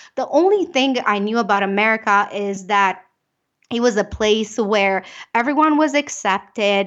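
A woman with a slight Romanian accent speaks in an animated tone at a moderate pace, with ordinary pitch variation and a quiet background. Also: fairly high pitch for a woman. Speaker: business owner and keynote speaker. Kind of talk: interview.

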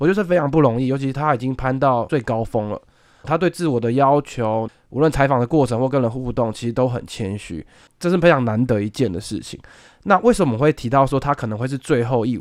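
At a fairly quick pace, a man with a normal speaking voice and medium pitch talks with ordinary pitch variation on a very clean recording with a silent background. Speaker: senior sports reporter. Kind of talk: casual chat.

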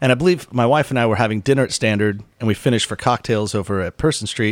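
On a very clean recording with a silent background, a man with a normal speaking voice talks at a fairly quick pace, his pitch fairly low with ordinary pitch variation. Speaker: podcast co-host. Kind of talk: casual interview chat. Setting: studio.

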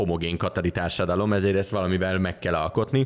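A man with a very deep, low pitch speaks very fast, with fairly even intonation. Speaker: podcast host. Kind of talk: casual chat.

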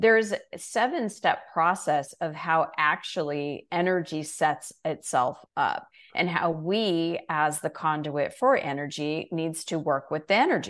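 Fairly slow and fairly low-pitched, a woman with an ordinary speaking voice uses ordinary pitch variation in a very clean recording with a silent background. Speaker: coach and author. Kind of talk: interview, coaching talk.

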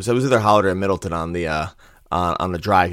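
A man's very deep, low voice in a very clean recording with a silent background. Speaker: podcast host. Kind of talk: casual sports podcast chat.

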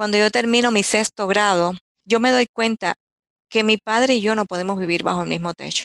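A woman talks at a fairly quick pace in an unremarkable speaking voice, at medium pitch with ordinary pitch variation. The sound is dry and close, with no echo. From Cuba, Candelaria (Artemisa). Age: 60s. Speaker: writer and editor. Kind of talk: personal storytelling interview.

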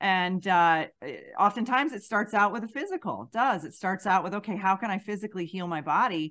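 Over a quiet background, a woman uses a normal speaking voice at medium pitch and a fairly quick pace. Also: ordinary pitch variation, big swings in loudness. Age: 40s. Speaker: podcast host, intuitive empath. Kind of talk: casual interview chat.

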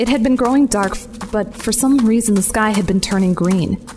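A woman's voice with ordinary pitch variation against noticeable background noise. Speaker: fiction narrator and lead character. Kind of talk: scripted first-person audio drama narration. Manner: suspenseful, hushed, breathless.

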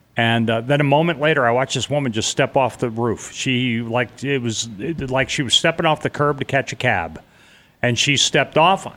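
Loud and at a moderate pace, a man speaks at medium pitch with ordinary pitch variation. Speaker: marine veteran, 9/11 witness. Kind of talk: testimony.

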